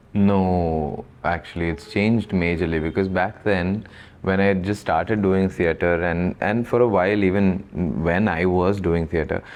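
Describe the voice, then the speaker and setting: Very deep and low, a man's voice with a Keralan accent proceeds at a fairly slow pace, with fairly even intonation and very even loudness. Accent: Malayali. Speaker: actor. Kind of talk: interview answer. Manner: casual, reflective.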